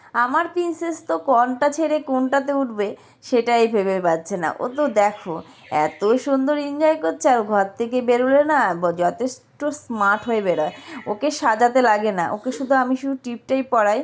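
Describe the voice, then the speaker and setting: Noticeable background noise surrounds a woman speaking at a high pitch with lively intonation. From rural Bengal. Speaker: vlogger. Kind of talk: casual vlog narration. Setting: outdoors in a park.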